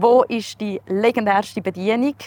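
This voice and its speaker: Her voice is an unremarkable speaking voice, a woman's at a medium pitch with ordinary pitch variation. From Switzerland, canton Uri (Erstfeld). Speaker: podcast host. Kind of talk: scripted narration; casual interview. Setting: outdoors.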